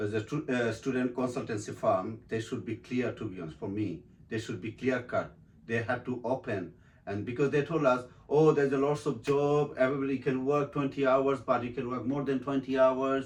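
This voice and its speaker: The speaker has a Bengali accent and a fairly quick pace. Pitch variation is ordinary. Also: man, medium pitch for a man. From Bangladesh. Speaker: actor and model. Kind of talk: interview. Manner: halting.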